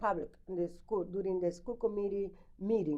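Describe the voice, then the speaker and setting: A woman's dark, mellow tone in a strong Spanish accent. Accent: heavy Spanish. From Dominican Republic. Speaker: school committee member and candidate. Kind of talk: interview. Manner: halting.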